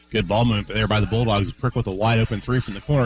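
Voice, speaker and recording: A very fast man's voice with an American accent, fairly even intonation and noticeable background noise. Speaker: radio color commentator. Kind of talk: analytical color commentary and pregame interviews. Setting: courtside at a high school gym. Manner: conversational, hesitant with frequent fillers.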